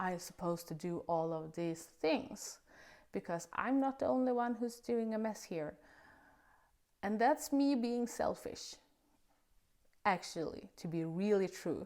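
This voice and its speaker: Speaking at a fairly slow pace with a non-native accent, a woman uses lively intonation and takes long, frequent pauses on a very clean recording with a silent background. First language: not English. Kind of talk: casual faith talk to camera. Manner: hesitant, with filler sounds.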